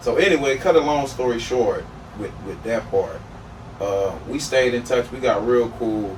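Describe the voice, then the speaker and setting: Noticeable background noise and audible room echo surround the recording. A man with an American accent speaks at a moderate pace and medium pitch with ordinary pitch variation. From Turks and Caicos and Florida. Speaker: podcast guest. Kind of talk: casual chat.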